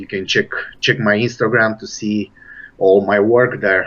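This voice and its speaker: A man with a Romanian accent talks at a fairly slow pace, his intonation fairly even. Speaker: bodybuilder and personal trainer. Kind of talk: interview. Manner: halting.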